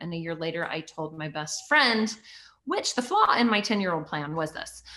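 With noticeable background noise, a woman talks at a fairly quick pace and a medium pitch. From US, rural, born in Canada. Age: 40s. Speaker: author, pastor and TV host. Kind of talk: interview conversation. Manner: animated.

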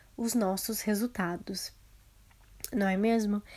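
A woman speaks with a Brazilian accent. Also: very clean recording, silent background. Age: 20s. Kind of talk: solo motivational podcast talk.

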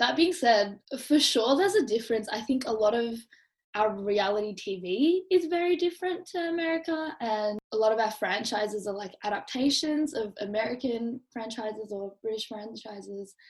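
Speaking in an Australian accent, a woman uses a fairly high pitch and lively intonation at a moderate pace, her voice somewhat breathy. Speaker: podcast host and university student. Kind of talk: casual chat.

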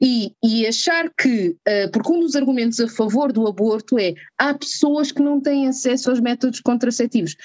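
A high-pitched woman at a moderate pace, with very even loudness, ordinary pitch variation, and hardly any pauses, in a dry, close sound with no echo. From northern Portugal. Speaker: doctor (anesthesiologist). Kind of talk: casual interview chat.

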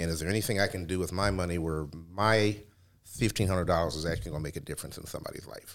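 With a Midwestern American accent, a man talks at a very fast pace in a very deep, low voice with ordinary pitch variation. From Cleveland, Ohio. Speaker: radio host and former stand-up comedian. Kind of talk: interview.

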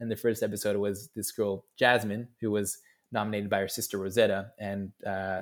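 A man's fairly low voice with an American accent, fairly quick and monotone, flat in intonation, on a very clean recording with a silent background. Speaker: entrepreneur, founder of a youth initiative. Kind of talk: casual interview chat.

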